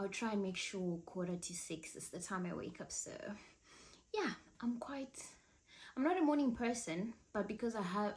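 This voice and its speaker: A woman speaks at a moderate pace in a somewhat breathy, medium-pitched voice with ordinary pitch variation and long, frequent pauses. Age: 20s. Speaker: lifestyle vlogger. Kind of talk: casual chat. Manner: chatty.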